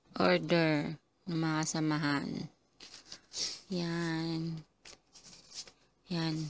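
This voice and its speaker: Very slowly and with long, frequent pauses, a woman speaks in a fairly low pitch with monotone, flat intonation. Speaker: vlogger, overseas Filipino worker. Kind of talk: casual vlog. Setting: at home, then outdoors and in a shop.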